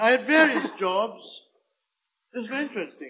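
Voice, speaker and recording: A man speaks with lively, rising and falling intonation. His raised, projected voice has a bright, sharp tone. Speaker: comedian. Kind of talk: comedic monologue.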